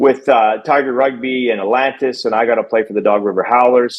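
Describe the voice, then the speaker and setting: This man has an unremarkable speaking voice at a medium pitch. He keeps a moderate pace and fairly even intonation. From Canada. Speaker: podcast co-host and rugby coach. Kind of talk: podcast interview.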